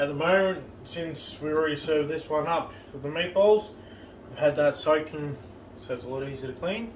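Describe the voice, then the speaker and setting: Fairly high male pitch with ordinary variation, big swings in loudness, a moderate pace, and noticeable background noise. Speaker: home cooking vlogger. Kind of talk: cooking tutorial. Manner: repetitive, halting.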